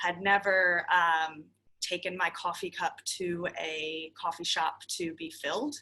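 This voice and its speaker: A woman with an American accent has a bright, sharp tone, a fairly low pitch and fairly even intonation. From United States. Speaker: shop owner. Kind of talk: workshop presentation.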